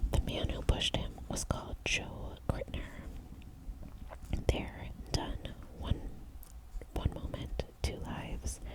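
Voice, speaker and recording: A very slow whisper with long, frequent pauses and noticeable background noise. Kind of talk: audiobook-style whispered reading of a thriller novel. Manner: whispered, soft-spoken.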